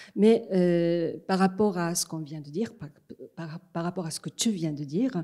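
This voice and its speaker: A woman speaks with a dark, mellow tone at fairly low pitch and lively intonation. Her pace is fairly slow, on a very clean recording with a silent background. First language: Japanese (speaking French). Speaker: interviewer, literary scholar. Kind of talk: interview. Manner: hesitant.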